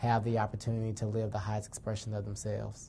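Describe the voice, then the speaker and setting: Intonation here is monotone and flat. The voice carries a somewhat breathy quality. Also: man. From Atlanta, Georgia. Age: 20s. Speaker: youth advocate. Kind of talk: personal testimony and advocacy speech.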